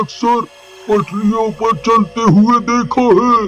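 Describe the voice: Clear music plays in the background as a man puts on a cartoonish character voice. His pitch is extremely high and his pace fairly slow.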